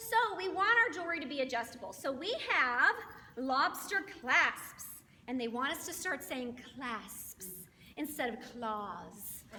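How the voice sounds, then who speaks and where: A woman's raised, projected voice, high-pitched with very wide pitch swings, over noticeable background noise. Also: fairly slow pace. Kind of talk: sales presentation. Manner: animated.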